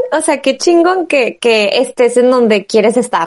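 This voice belongs to a woman. Her pace is fairly slow. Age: 20s. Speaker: podcast host. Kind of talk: casual chat.

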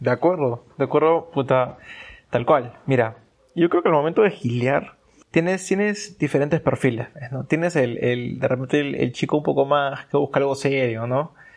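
This man, with an ordinary speaking voice, uses a fairly high pitch that varies in an ordinary way as he talks at a moderate speed. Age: 20s. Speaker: podcast guest. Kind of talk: casual chat.

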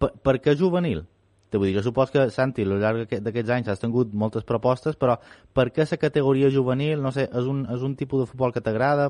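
Recorded dry and close with no echo against a quiet background, a man speaks at a fairly quick pace with medium pitch and ordinary pitch variation. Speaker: sports radio host. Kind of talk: radio interview.

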